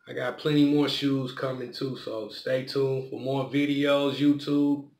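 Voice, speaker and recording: A man is speaking. There is audible room echo and light background noise. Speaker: vlogger. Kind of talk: casual vlog chat. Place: home room. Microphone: phone near.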